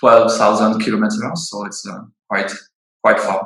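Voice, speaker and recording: A man speaks with a French accent. He talks at a fairly slow pace. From France, Bordeaux. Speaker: winemaker. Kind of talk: interview. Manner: halting, many fillers.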